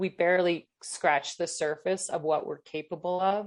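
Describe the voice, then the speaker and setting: Woman in a monotone, flat intonation at a moderate pace over a quiet background. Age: 50s. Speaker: endurance athlete. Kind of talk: interview.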